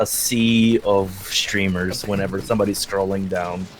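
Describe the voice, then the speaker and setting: A soft-spoken man at a fairly slow pace and fairly low pitch, with ordinary pitch variation, over noticeable background noise. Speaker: streamer. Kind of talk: casual interview.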